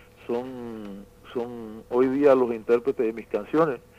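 Over music in the background, a man talks at a very slow pace with a medium pitch and ordinary pitch variation. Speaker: songwriter. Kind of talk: interview. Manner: halting.

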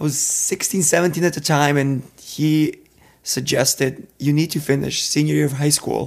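A man with a Serbian accent speaks at a moderate pace. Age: 20s.

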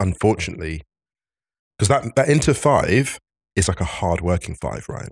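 On a very clean recording with a silent background, the delivery is fairly quick. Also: man. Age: 40s. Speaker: football podcast co-host. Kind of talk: casual chat. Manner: animated.

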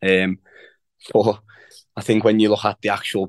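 In a Liverpool accent, a man talks at a very fast pace with monotone, flat intonation. The sound is dry and close with no echo, over a quiet background. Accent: Scouse. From Liverpool, England. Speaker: professional footballer. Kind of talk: casual chat.

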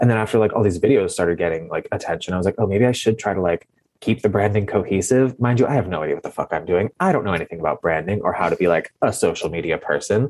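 A man speaks at a very fast pace with hardly any pauses. His pitch is fairly low, with ordinary variation. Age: 30s. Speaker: TikTok comedian. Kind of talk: casual chat. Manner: animated.

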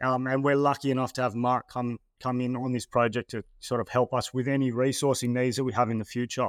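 An Australian accent comes through at a very fast pace with hardly any pauses. The intonation is monotone and flat, and the sound is dry and close with no echo. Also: man, medium pitch for a man. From Australia, New South Wales (Terrigal, north of Sydney). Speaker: mining company managing director. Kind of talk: interview. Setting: studio. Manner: casual, with many fillers and repeated words.

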